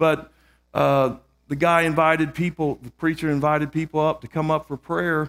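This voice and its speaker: A man speaks at a moderate pace with a fairly high pitch and big swings in loudness. The recording is very clean and dry, with a close sound, no echo and a silent background. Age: 60s. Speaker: guest preacher. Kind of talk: sermon. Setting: church. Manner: animated.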